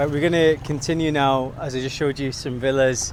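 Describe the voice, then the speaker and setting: In an English accent, a man speaks slowly-ish at a fairly high pitch with ordinary pitch variation, over noticeable background noise. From England, British-born Bengali. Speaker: vlogger. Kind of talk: walk-and-talk vlog. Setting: outdoors. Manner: casual.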